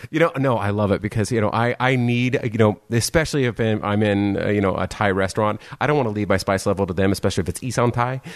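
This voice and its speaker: With an American accent, a man talks at a very fast pace with hardly any pauses. His pitch is fairly low, with ordinary pitch variation. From San Diego, California. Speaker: podcast host. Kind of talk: casual chat.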